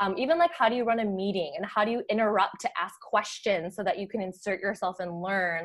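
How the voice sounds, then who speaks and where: A woman talks with an American accent at a moderate pace. The recording is very clean with a silent background. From US Midwest, Chicago suburbs. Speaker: marketing professional. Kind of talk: casual chat.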